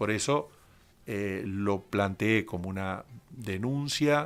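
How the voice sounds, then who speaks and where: A man with a plain, everyday voice speaks at a fairly low pitch, with ordinary pitch variation. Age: 60s. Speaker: human rights lawyer, author. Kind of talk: radio interview. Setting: radio studio.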